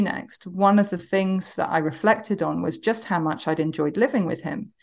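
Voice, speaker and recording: Against a quiet background, a woman with an English accent speaks at a moderate pace in a fairly low voice. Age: 40s. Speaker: novelist. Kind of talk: casual chat. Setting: video call. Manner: repeats words when starting sentences.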